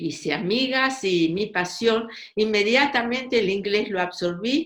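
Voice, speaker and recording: In a Russian accent, a woman with a medium pitch speaks at a very slow pace, her intonation lively. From Argentina, Buenos Aires. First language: Russian (speaking Spanish). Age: 80s+. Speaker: writer. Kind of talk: interview. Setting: podcast.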